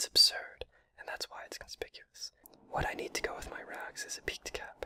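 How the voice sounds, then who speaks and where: A man whispers at a fairly quick pace. Noticeable noise sits in the background. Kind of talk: whispered audiobook-style reading of a novel. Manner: whispered.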